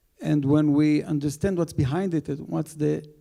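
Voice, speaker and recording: With an Israeli accent, a man talks at a fairly slow pace in a dark, mellow tone with ordinary pitch variation. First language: Hebrew. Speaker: rabbi on a panel. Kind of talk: panel talk. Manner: halting.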